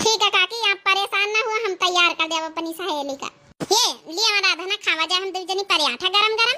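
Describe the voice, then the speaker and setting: A woman's cartoonish character voice, extremely high in pitch and fairly quick. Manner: chatty, teasing.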